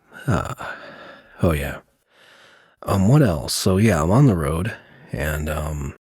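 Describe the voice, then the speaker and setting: Soft-spoken and somewhat breathy, a man talks very slowly with long, frequent pauses in a very deep, low voice with lively intonation. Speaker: video creator. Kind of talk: casual monologue vlog. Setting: quiet room while traveling. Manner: halting, many fillers.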